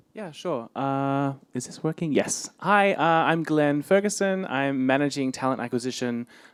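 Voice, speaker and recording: With an Australian accent, a man talks using lively intonation. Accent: Australian, returned after being suppressed. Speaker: talent acquisition manager. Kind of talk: panel discussion.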